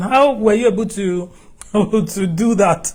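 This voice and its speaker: A man's high-pitched voice with a Nigerian accent and ordinary pitch variation. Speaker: TV talk show host. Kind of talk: interview. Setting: studio.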